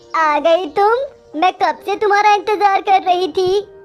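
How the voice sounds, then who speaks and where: This is a cartoonish character voice that sounds female, pitched extremely high. It moves at a moderate pace. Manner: cold, domineering.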